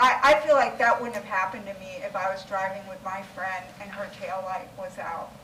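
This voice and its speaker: A woman speaks at a moderate pace and a medium pitch, with ordinary pitch variation, audible room echo and noticeable background noise. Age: 60s. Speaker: advisory council member. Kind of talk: public meeting discussion.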